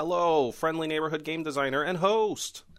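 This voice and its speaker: A man puts on a character voice pitched fairly high, keeping a moderate pace. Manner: wavering, ghostly.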